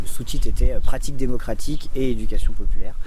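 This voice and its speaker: Against noticeable background noise, a man talks at a fairly quick pace and a medium pitch. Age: 30s. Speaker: community educator and activist. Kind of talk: interview. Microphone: poor recording quality.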